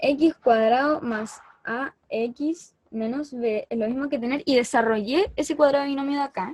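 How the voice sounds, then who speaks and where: A woman in a Chilean accent speaks at a high pitch with ordinary variation, at a fairly slow pace with hardly any pauses, the sound dry and close with no echo. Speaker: math tutor. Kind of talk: lecture.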